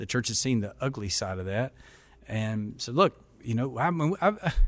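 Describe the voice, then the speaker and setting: On a very clean recording with a silent background, a man with a Kentucky accent speaks at medium pitch and a fairly quick pace. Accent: Kentucky Southern US. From Kentucky, small town. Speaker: denominational mission board president and former pastor. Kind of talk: casual interview.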